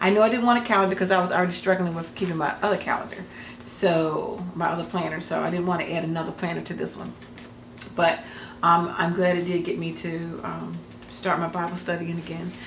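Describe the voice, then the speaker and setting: Over noticeable background noise and audible room echo, a woman with a fairly low pitch speaks with fairly even intonation. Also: fairly quick pace. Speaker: crafting YouTuber. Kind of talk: casual vlog talk. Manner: fast; halting, many fillers.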